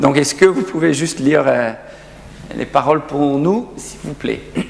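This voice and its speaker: Fairly slow, fairly high-pitched speech from a man, ordinary in pitch variation, amid noticeable background noise. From South Africa. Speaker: pastor. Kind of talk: sermon. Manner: halting.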